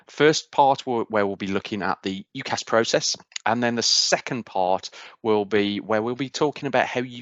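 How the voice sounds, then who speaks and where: A man in a Midlands accent speaks at a fairly low pitch. His pace is moderate, with ordinary pitch variation. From English Midlands, Cannock. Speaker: university outreach speaker. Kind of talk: presentation.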